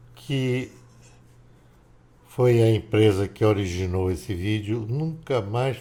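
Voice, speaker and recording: A man speaks at a fairly slow pace with a dark, mellow tone, a somewhat breathy quality, medium pitch and ordinary pitch variation. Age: 70s. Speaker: political commentator. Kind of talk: casual monologue.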